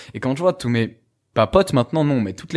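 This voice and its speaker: The recording is very clean, with a silent background. On it, a man speaks fairly quickly with lively intonation. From France. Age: 20s. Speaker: youtuber and fitness coach. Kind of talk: podcast interview. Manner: fast; animated.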